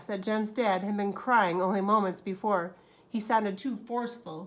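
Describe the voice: Plain reading aloud holds a fairly even intonation throughout.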